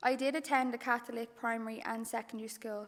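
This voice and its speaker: A woman with a Dublin accent talks at a moderate pace in a high pitch, her intonation monotone and flat. The recording is very clean, with a silent background. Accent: Dublin Irish. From Ireland, Dublin. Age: 20s. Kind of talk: testimony.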